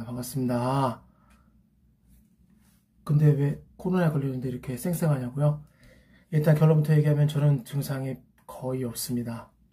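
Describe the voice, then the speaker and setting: With a dark, mellow tone and a fairly high pitch, a man speaks somewhat breathily with fairly even intonation and long, frequent pauses. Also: moderate pace. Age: 50s. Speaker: academy teacher. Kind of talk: casual talk to camera.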